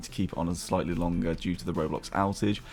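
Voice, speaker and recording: Very fast speech comes from a man. He talks in a British accent. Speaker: gaming YouTuber. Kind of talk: gaming commentary. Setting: home recording late at night. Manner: quieter, softer than usual.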